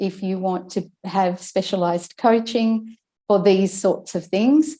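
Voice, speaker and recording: In an Australian accent, a woman speaks fairly slowly with a dark, mellow tone, medium pitch and fairly even intonation. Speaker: speech and language therapist. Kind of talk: casual chat.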